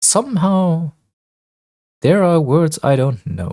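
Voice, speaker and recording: The speaker has a non-native accent and moves at a very slow pace. The recording is very clean, with a silent background. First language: not English. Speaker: let's play gamer. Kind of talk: gameplay commentary with reading game text aloud.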